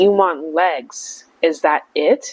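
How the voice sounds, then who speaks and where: A female-sounding, put-on character voice at medium pitch. It comes out croaky and raspy. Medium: read story. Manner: menacing.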